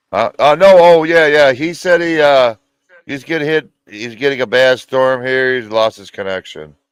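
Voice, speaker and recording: A man with an American accent and a fairly high pitch talks at a moderate pace with ordinary pitch variation and big swings in loudness, the sound dry and close with no echo. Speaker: moonshiner, show host. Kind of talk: casual chat.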